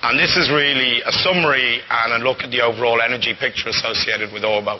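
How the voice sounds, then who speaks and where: A man speaks at a very fast pace, his pitch medium with ordinary variation. Noticeable background noise runs under his voice. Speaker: company presenter. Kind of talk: live technical presentation. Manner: hesitant, many fillers.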